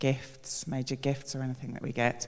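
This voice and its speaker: The speaker is a woman with a very deep, low pitch. She talks at a moderate pace. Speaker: church member. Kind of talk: testimony.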